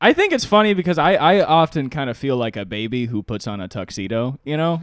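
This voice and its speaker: Pitch swings very widely as a man talks at a fairly quick pace. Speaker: podcast co-host; comedian.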